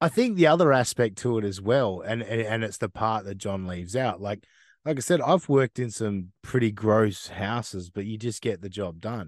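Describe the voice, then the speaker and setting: In an Australian accent, a man speaks at a moderate pace with a fairly low pitch and ordinary pitch variation over a quiet background. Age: 30s. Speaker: podcast host. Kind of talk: casual interview chat.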